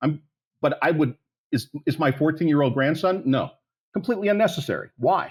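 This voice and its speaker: On a very clean recording with a silent background, a man speaks at a fairly high pitch with vocal fry. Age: 60s. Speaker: policy advocate, plan founder. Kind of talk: podcast interview. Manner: animated.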